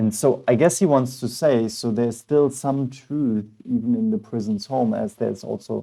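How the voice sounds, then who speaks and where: Man with a non-native accent, dark, mellow tone, ordinary pitch variation and moderate pace. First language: not English. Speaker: philosophy teacher, reading texts aloud. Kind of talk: assisted reading with commentary. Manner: halting.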